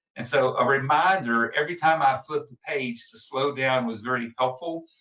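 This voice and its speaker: Here a man talks with a Southern US accent. His pitch varies in an ordinary way. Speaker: public speaking trainer. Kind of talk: lecture. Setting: recorded video presentation. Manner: fast.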